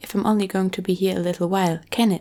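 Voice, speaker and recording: Soft-spoken and gentle in tone, a woman talks at a fairly quick pace and medium pitch. Her dark, mellow voice has monotone, flat intonation. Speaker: ASMR creator who reads audiobooks aloud. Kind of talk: ASMR book reading, bedtime story. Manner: soft-spoken, gentle.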